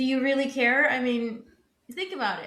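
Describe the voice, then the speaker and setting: With audible room echo, a woman's speech moves at a moderate pace. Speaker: podcast co-host. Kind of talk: casual chat.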